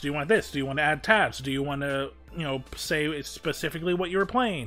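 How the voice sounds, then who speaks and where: With music in the background, a man speaks in a fairly high, nasal voice with ordinary pitch variation. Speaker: streamer, voice actor. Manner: casual, rambling.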